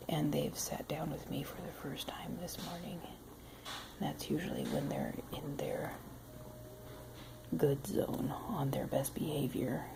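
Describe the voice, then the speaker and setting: Whispering at a fairly slow pace with long, frequent pauses, the voice comes over noticeable background noise. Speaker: pet owner vlogger. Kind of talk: casual home video narration. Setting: at home, dogs on her lap. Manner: quiet, soft-spoken.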